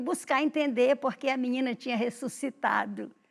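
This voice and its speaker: A woman speaks in a high voice. The recording is very clean, with a silent background. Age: 70s. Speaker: writer and teacher. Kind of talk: interview.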